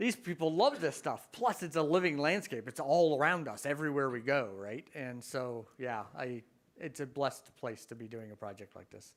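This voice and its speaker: A man's fairly high voice with a slight Canadian accent, lively intonation, big swings in loudness and hardly any pauses, on a very clean recording with a silent background. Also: moderate pace. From Canada, Ontario. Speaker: professor. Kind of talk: Q&A after a talk.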